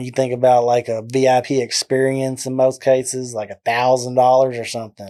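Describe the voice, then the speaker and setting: A man's dark, mellow voice in a Southern US accent, with monotone, flat intonation. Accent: deep southern drawl. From Texas, McGregor. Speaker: music videographer. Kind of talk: casual interview chat.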